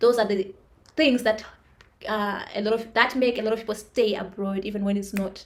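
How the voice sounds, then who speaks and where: A woman speaks at a moderate pace with an African accent. Her fairly high voice keeps a fairly even intonation. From Zimbabwe. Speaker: vlogger. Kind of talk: personal monologue. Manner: halting.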